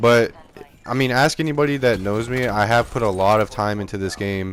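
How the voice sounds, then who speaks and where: Speaking at a fairly quick pace, a man keeps a medium pitch with ordinary pitch variation. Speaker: gaming youtuber. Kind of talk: video commentary. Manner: halting, filler-heavy; casual.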